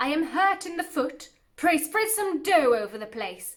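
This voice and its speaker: A woman does a put-on character voice at an extremely high pitch. She keeps a moderate pace. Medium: read story. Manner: sly, coaxing.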